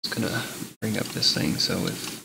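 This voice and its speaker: A quiet whisper at a moderate pace, with audible room echo and music playing in the background. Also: man. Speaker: gamer streaming a let's play. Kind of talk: casual gameplay commentary. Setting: home, live broadcast. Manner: quiet, whispering.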